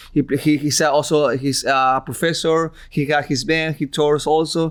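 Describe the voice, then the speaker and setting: A man speaks in an Ecuadorian accent at a moderate pace, his fairly high voice monotone and flat, with very even loudness. The recording is very clean, the background silent. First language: Spanish. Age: 30s. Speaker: musician. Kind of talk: interview. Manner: halting, many repeats.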